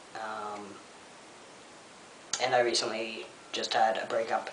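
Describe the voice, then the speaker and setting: The voice comes at a fairly slow pace, with audible room echo and noticeable background noise. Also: man. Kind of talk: vlog update. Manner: relaxed, hesitant with frequent ums.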